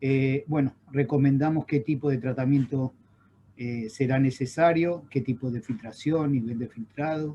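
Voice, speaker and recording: A man with an Argentine accent, medium pitch, a dark, mellow tone, somewhat breathy delivery, ordinary pitch variation and a fairly slow pace. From Argentina. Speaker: chemical engineer, water quality expert. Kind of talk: webinar lecture. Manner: halting, many fillers.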